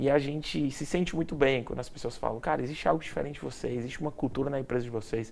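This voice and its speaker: Speaking very fast with hardly any pauses, a man with a strong Ceará accent uses a fairly high pitch. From Ceará, Brazil. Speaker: event production company CEO. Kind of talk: interview.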